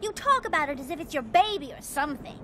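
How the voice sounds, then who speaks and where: A cartoonish character voice, female-sounding and extremely high in pitch, rattles along at a very fast pace. Clear background noise is heard behind it. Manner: theatrical, refined.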